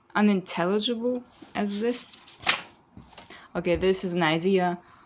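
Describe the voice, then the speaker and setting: A woman speaks at a medium pitch and a fairly slow pace, with fairly even intonation and noticeable background noise. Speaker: artist. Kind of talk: casual rambling sketchbook tour. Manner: frantic; halting with many fillers.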